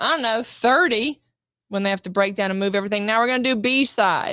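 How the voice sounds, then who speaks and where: A bright, sharp tone comes through as a woman talks. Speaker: actress. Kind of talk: casual chat.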